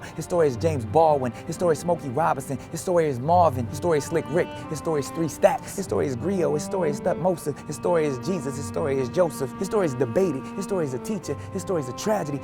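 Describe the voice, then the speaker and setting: A man with an American accent talks very fast with hardly any pauses, his fairly high pitch swinging very widely. Music plays in the background. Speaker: spoken word poet. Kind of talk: spoken word poetry performance. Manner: rhythmic, emphatic.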